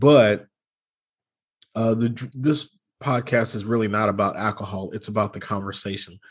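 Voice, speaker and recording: On a very clean recording with a silent background, a man with a Southern US accent speaks at a fairly low pitch and a moderate pace. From US South. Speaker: car podcast host. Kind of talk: casual podcast chat.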